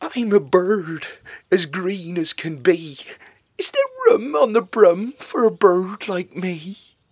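A man puts on a character voice, pitched high and delivered fairly slowly. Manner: eager, keen.

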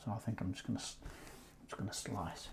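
A man with an English accent speaks in a dark, mellow tone with vocal fry. Noticeable background noise sits behind him. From England. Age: 40s. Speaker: YouTube gaming unboxer; gaming video host. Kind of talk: casual unboxing vlog. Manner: hesitant, many fillers. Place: home room. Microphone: lapel.

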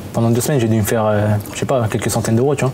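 Light background noise sits behind a man speaking with fairly even intonation. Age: 20s. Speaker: young adult sharing experience. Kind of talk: casual group discussion. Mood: reflective, confessional. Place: home room. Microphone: lapel.

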